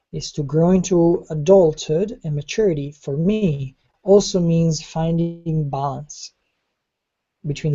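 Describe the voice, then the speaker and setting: A woman's very deep, low voice, somewhat breathy. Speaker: online course teacher. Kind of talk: online class lecture.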